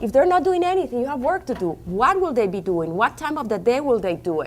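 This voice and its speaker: A woman with a Colombian accent, high-pitched and talking at a fairly quick pace. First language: Spanish. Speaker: diabetes educator. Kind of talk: conference seminar talk. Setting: conference room with audience.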